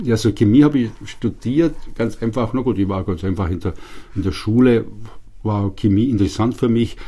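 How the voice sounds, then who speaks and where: It is a plain, everyday voice. The pitch varies in an ordinary way. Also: man. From Upper Bavaria, Germany. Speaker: institute director, physical chemist. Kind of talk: interview. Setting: studio.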